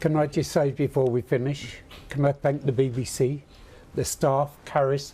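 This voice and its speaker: A man speaks at a fairly high pitch in a monotone, flat intonation, his tone dark and mellow and somewhat breathy. He keeps a moderate pace and very even loudness. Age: 80s+. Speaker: war veteran. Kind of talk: TV news interview.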